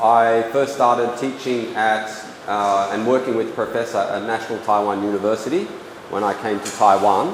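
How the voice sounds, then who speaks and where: Noticeable background noise and audible room echo accompany a man talking at a moderate pace with fairly even intonation. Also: medium pitch for a man. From Australia, Sydney. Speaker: English editing trainer and lecturer. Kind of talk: lecture. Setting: small room with audience, no microphone. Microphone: speaking without a microphone.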